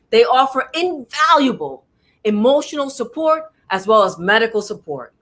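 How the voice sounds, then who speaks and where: At a moderate pace, a woman with a New York accent speaks in an animated, bright, sharp tone with very wide pitch swings. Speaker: talk show host. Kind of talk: interview.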